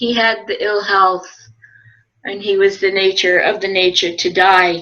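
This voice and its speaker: A woman's medium-pitched voice, bright and sharp in tone, at a fairly slow pace. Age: 70s. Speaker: dharma teacher. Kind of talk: personal dharma talk. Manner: halting.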